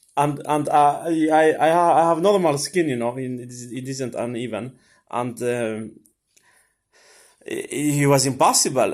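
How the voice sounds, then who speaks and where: A man with a Swedish accent and fairly high pitch, ordinary pitch variation, a fairly slow pace and big swings in loudness. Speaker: vlogger. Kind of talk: casual monologue. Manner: halting, many fillers and repetitions.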